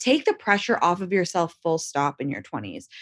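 There is little sound in the background. A woman talks at a moderate speed. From London, England. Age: 30s. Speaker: content creator and writer. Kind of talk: casual interview chat.

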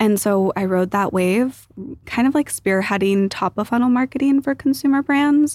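Over a very clean, silent background, a woman talks at a moderate pace with lively intonation, the sound dry and close with no echo. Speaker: investor and partnerships executive. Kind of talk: casual interview chat. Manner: calm, eloquent.

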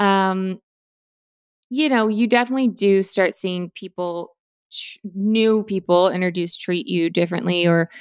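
A woman with an American accent and a plain, everyday voice at medium pitch, in a dry, close sound with no echo and a very clean recording over a silent background. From Florida. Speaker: podcast host and actress. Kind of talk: casual chat.

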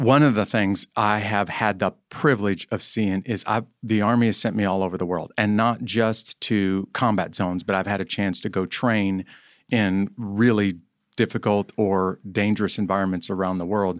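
In an ordinary speaking voice, a man with an American accent speaks at a moderate pace and fairly low pitch with fairly even intonation, recorded dry and close with no echo on a very clean track with a silent background. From rural US small farm community. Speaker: army chaplain and author. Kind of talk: interview conversation.

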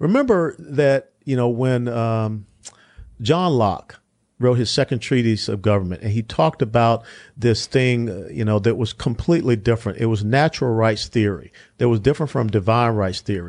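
A man talks in a normal speaking voice at medium pitch, with ordinary pitch variation. His pace is moderate and the background is quiet. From US South. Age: 60s. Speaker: politician and retired army officer. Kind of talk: political discussion.

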